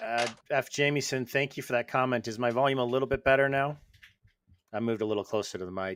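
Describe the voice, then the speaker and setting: A man at a medium pitch, very fast and fairly even in intonation, on a very clean recording with a silent background. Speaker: podcast host, former monk. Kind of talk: casual chat. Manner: soft-spoken.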